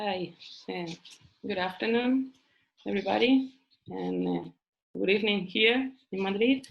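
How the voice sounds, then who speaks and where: The speech goes at a moderate pace, broken by long, frequent pauses. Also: woman. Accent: Spanish. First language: Spanish. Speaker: professor. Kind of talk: panel talk. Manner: hesitant, many fillers.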